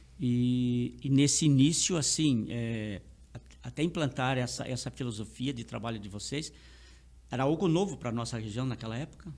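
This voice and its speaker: This is a man with a normal speaking voice. His pitch sits in the medium range. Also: ordinary pitch variation, moderate pace. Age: 60s. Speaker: podcast host, actor and theatre director. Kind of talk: interview conversation.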